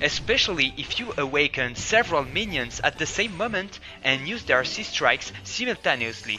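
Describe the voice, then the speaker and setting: A man speaks with a French accent at a moderate pace, his pitch fairly high and swinging very widely. Music plays in the background. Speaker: game developer. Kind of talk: promotional presentation.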